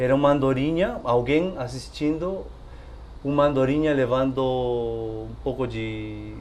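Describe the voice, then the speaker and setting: A man speaks with a non-native accent. Music plays in the background and the room echo is audible. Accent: foreign accent in Portuguese. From Peru. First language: Spanish (speaking Portuguese). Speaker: storyteller. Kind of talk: casual interview. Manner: hesitant.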